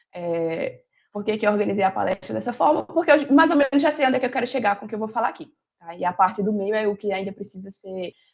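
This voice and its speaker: Vocal fry colors a woman's medium-pitched voice with lively intonation. She goes at a very fast pace over a quiet background. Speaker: philosophy lecturer. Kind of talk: lecture. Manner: hesitant with frequent fillers.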